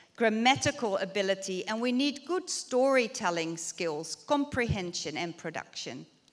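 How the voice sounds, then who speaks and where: A woman talks at a fairly high pitch with very wide pitch swings. She leaves hardly any pauses. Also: moderate pace. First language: Dutch. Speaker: university researcher. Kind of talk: conference lecture.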